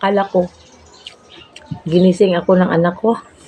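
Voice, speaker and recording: A woman of medium pitch speaks at a moderate pace against noticeable background noise. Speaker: vlogger. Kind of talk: casual vlog storytelling. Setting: at home, eating meal on camera. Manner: halting.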